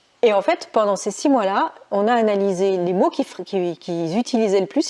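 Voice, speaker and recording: With lively intonation, a woman talks at a medium pitch in a dark, mellow tone. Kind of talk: casual talk to camera.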